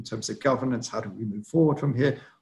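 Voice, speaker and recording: A man talks with a British accent and a somewhat breathy quality. His pitch varies in an ordinary way. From Britain. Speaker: political analyst. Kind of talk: webinar briefing and Q&A. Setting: online webinar.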